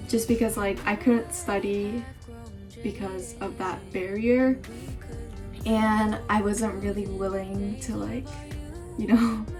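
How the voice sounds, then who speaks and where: Music plays in the background as a woman talks at a very slow pace with long, frequent pauses. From Japan, Singapore and Indonesia. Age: young. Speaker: university student. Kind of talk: casual talk to camera.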